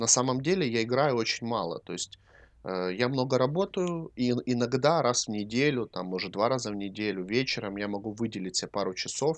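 An unremarkable speaking voice with lively intonation on a very clean recording with a silent background. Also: man. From Ukraine. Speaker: podcast co-host and cosmetics maker. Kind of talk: casual chat.

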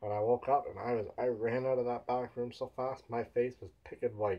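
A man's somewhat breathy voice at a moderate pace, with fairly even intonation. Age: 20s. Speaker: vlogger. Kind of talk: casual vlog monologue. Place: home room. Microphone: webcam.

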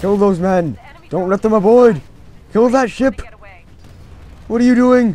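A man with a high voice talks at a moderate pace with ordinary pitch variation and long, frequent pauses amid noticeable background noise. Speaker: gaming YouTuber. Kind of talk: gameplay commentary. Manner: animated. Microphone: new mic, voice a bit quiet.

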